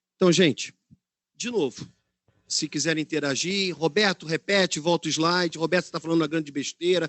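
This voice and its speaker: Here a man talks at a fairly high pitch with ordinary pitch variation. The pace is moderate. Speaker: ESG management specialist, speaker. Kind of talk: webinar talk.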